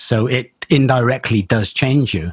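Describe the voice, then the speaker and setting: Somewhat breathy, a man's medium-pitched voice comes through. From England, Bristol. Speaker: loudspeaker company engineer. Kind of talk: interview conversation. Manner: halting, repeats words.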